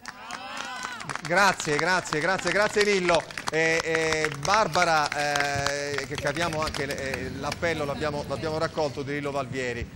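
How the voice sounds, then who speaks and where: Through loud background noise, a man speaks at a fairly slow pace, with a fairly high pitch and ordinary pitch variation. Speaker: TV talk show host. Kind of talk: studio panel discussion. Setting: TV studio. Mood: ironic, playful.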